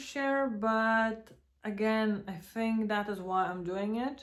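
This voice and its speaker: A woman with a non-native accent speaks at a very slow pace in a fairly high pitch. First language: not English. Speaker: vlogger and small café owner. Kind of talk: casual vlog monologue. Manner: hesitant, with fillers.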